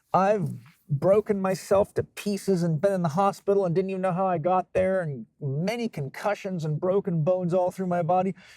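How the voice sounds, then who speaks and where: Music plays in the background as a man talks at a fairly quick pace in a high pitch. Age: 50s. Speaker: holistic health expert. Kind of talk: podcast interview. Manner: animated.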